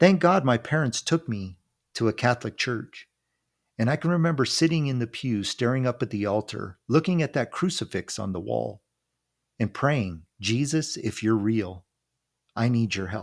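A man with a plain, everyday voice speaks at a moderate pace and medium pitch with lively intonation, in a very clean, dry, close recording with a silent background and no echo. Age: 50s. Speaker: retired minister and therapist, podcast host. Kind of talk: solo monologue with personal testimony.

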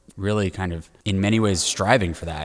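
Here a man has an ordinary speaking voice, fairly low in pitch, with fairly even intonation at a moderate pace in a very clean recording with a silent background. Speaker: restaurant industry team member. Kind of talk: casual discussion. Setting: makeshift studio.

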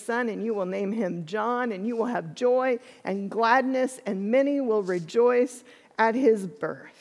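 The speaker uses a natural reading voice. Pitch varies in an ordinary way.

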